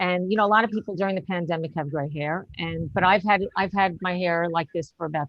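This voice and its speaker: In a normal speaking voice, a woman with an American accent talks at a fairly low pitch and fairly quick pace with ordinary pitch variation. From New York. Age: 60s. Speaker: stand-up comedian. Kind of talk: stand-up. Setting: video call.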